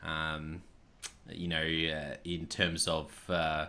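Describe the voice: A man's extremely low-pitched voice at a very slow pace, bright and sharp in tone, with monotone, flat intonation.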